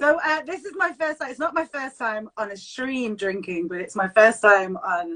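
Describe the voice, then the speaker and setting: A woman with a Mancunian accent speaks in a fairly high voice with a bright, sharp tone. At a moderate pace with hardly any pauses, her pitch swings very widely and her loudness shifts a lot. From Manchester, England. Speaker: vocalist and broadcaster. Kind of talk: casual chat. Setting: Instagram live stream.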